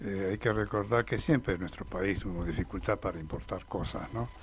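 A man talks at a moderate pace. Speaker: mountaineer. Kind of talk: interview. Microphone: too far from mic.

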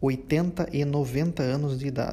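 A somewhat breathy man's voice with a dark, mellow tone and ordinary pitch variation. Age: 20s. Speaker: podcast host. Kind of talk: monologue rant. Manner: halting.

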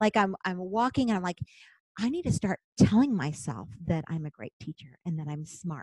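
A woman with a fairly low pitch and a somewhat breathy, dark, mellow tone speaks at a moderate pace with lively intonation. Her loudness swings widely, and the sound is dry and close with no echo. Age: 50s. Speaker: teacher. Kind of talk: casual chat.

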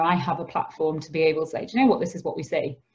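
A woman with a Yorkshire accent talks at a very fast pace, her fairly low voice somewhat breathy. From northern England, Skipton (Yorkshire). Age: 30s. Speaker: charity founder and social worker. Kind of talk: interview. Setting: remote recording from home.

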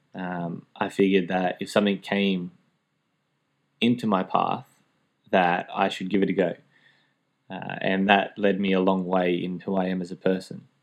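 Speaking with an Australian accent, a man with a very deep, low pitch keeps a monotone, flat intonation at a moderate pace with long, frequent pauses, on a very clean recording with a silent background. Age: 20s. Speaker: teacher, DJ and former youth minister. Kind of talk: casual interview.

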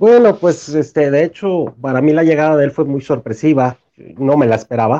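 A man's voice sits fairly high in pitch with a dark, mellow tone. He keeps a moderate pace with ordinary pitch variation and hardly any pauses. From Mexico, Torreón, Coahuila. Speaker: fan group founder. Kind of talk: casual chat among fans. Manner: halting, many repetitions.

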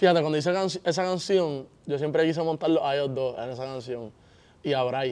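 With a normal speaking voice, a man talks at a fairly quick pace, his fairly high pitch showing ordinary pitch variation. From Puerto Rico. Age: young. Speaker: reggaeton singer. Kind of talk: interview.

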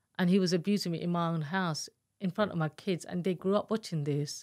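In an East London accent, a woman with a fairly low pitch and ordinary pitch variation talks at a fairly quick pace on a very clean recording with a silent background and a dry, close sound with no echo. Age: 50s. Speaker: domestic abuse survivor and author. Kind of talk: testimony.

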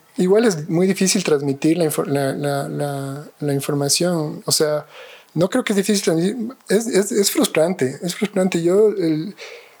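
At a fairly slow pace, a man talks in a high voice with ordinary pitch variation. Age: 40s. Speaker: architect and professor. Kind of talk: interview conversation. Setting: at his home. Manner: hesitant, many fillers and repetitions.

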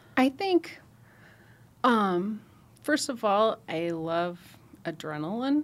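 Pausing long and often, a woman speaks very slowly with very wide pitch swings. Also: fairly high pitch for a woman. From Nebraska, rural US Midwest. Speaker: trauma nurse coordinator. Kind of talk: podcast interview. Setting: studio.

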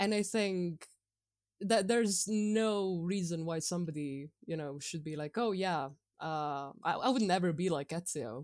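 A woman's fairly low-pitched, plain, everyday voice with lively intonation, in a very clean recording with a silent background. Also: fairly slow pace. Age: 20s. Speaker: podcast guest, gamer. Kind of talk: casual chat.

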